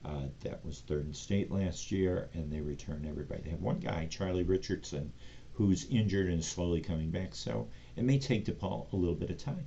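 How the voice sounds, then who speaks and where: A man with an American accent, dark, mellow tone and vocal fry, lively intonation at a moderate pace, audible room echo around him. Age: 60s. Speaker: sports show host. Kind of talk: casual solo commentary show. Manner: conversational with frequent fillers.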